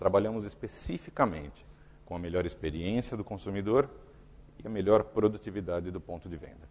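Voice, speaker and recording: Speaking at a fairly quick pace, the man has a fairly low pitch, ordinary pitch variation and big swings in loudness. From Brazil. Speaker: company executive giving a talk. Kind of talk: conference talk. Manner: halting, with fillers and repetitions.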